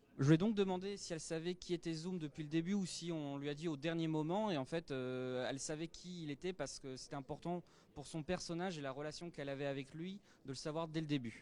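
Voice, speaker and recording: Fairly high in pitch with ordinary variation, a man's voice carries a dark, mellow tone. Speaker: interviewer and interpreter. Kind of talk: interview. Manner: hesitant, many filler sounds.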